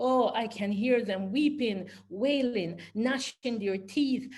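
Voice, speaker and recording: A woman speaks fairly slowly in a somewhat breathy voice with a fairly high pitch. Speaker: poet and historian. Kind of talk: poetry reading. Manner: rhythmic, incantatory.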